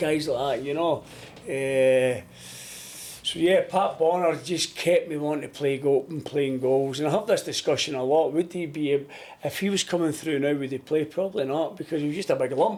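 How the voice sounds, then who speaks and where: With a Glaswegian accent, a man talks at a moderate pace, his fairly high pitch showing ordinary pitch variation. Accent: Glaswegian Scottish. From Scotland, Glasgow. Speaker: goalkeeping coach and former footballer. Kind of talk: podcast interview. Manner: loud when coaching.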